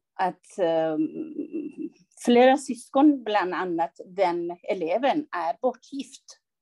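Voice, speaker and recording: A woman speaks at a very slow pace with a dark, mellow tone. The sound is dry and close, without echo. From Iran. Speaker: school counsellor and social worker. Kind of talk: interview.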